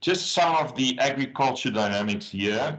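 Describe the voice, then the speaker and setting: A man speaks at a moderate pace with a South African accent. His pitch varies in an ordinary way. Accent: Afrikaans South African English. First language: Afrikaans. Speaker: agriculture business consultant. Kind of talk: webinar presentation.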